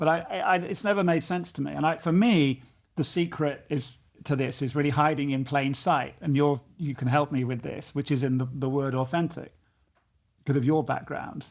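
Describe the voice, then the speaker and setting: On a very clean recording with a silent background, a man with a British accent talks at a moderate pace, his pitch fairly high with ordinary variation. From United Kingdom. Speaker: coach and author. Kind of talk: casual conversation.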